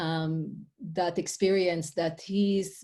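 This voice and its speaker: A woman with an Israeli accent speaks in a fairly low, dark and mellow voice. Her intonation stays flat and monotone. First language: Hebrew. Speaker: life coach and author. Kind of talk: interview. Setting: podcast interview.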